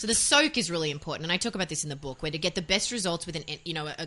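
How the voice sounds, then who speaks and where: In an Australian accent, a woman talks at a very fast pace in a bright, sharp tone with ordinary pitch variation. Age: 40s. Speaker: author and voiceover artist. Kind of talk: interview.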